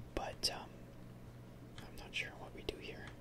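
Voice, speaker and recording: Loud noise fills the background. The talking proceeds at a moderate speed. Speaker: gaming ASMR creator. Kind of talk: casual gameplay commentary. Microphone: studio mic.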